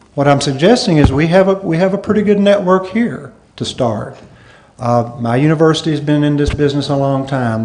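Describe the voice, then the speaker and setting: Through audible room echo, a man speaks with a fairly high pitch. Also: lively intonation, fairly quick pace. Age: 60s. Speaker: conference speaker, professor. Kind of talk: conference Q&A answer. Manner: halting.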